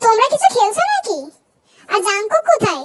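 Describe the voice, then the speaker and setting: A woman uses a squeaky, put-on character voice. It sits at an extremely high pitch with lively intonation. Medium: read story. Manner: gentle, indulgent.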